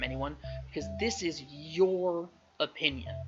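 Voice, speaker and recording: A man speaks at a fairly high pitch with very wide pitch swings, music playing in the background. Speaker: teacher. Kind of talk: tutorial.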